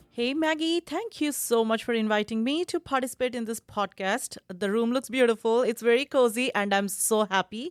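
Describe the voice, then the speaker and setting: A woman with an Indian accent speaks in a fairly high pitch, on a very clean recording with a silent background and a dry, close sound with no echo. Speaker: university lecturer. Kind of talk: podcast interview.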